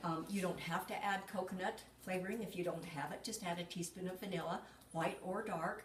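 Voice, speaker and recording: Moderate-paced speech from a woman, fairly even in intonation, with audible room echo and noticeable background noise. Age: 70s. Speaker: cooking demonstrator. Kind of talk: cooking tutorial. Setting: home kitchen. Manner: casual, chatty.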